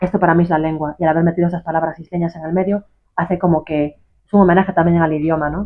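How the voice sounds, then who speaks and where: A woman talks at a very fast pace and a fairly low pitch. Her intonation is monotone and flat. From Galicia, Isla de Arousa. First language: Galician (speaking Spanish). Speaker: author. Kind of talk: interview. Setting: bookshop.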